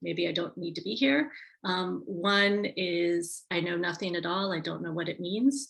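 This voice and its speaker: A woman talks at a fairly slow pace with an American accent. Her tone is bright and sharp, with vocal fry. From United States. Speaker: tourism marketing advisor. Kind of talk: webinar presentation. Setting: video call.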